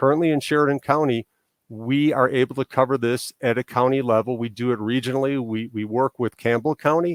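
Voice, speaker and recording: The man speaks at a fairly quick pace with a slight Chicago accent, medium pitch and fairly even intonation. The recording is dry and close with no echo, very clean, with a silent background. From Chicago area, Illinois, US. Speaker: political candidate. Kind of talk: interview answers.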